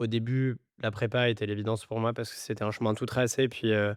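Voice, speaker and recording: The recording is very clean, with a silent background. A man with a medium pitch speaks at a moderate pace in a monotone, flat way. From France, Grenoble and Madagascar. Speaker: startup CEO. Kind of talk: podcast interview. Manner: hesitant, many fillers.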